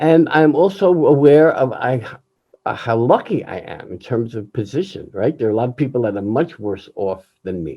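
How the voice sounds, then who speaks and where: A man speaks at a medium pitch with very wide pitch swings. His loudness rises and falls in big swings. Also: moderate pace. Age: 70s. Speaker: jazz musician. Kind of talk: candid personal monologue.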